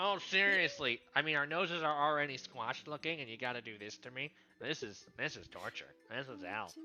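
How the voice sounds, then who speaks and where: Over music in the background, a nasal, put-on character voice runs at a fairly quick pace with lively intonation and hardly any pauses. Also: man, fairly high pitch for a man. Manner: complaining.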